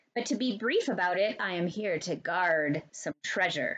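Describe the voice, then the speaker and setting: A woman puts on a character voice. Her pitch sits in the medium range. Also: moderate pace. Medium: read story. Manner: polite, gentle.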